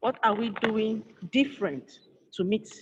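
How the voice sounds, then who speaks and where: A woman's ordinary speaking voice, fairly high in pitch, with ordinary pitch variation and a moderate pace. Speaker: engineer and conference speaker. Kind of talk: conference presentation. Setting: virtual conference.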